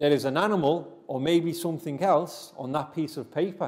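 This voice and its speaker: A man's high-pitched voice, dark and mellow in tone, with ordinary pitch variation. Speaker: teacher. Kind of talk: lesson to children. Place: classroom.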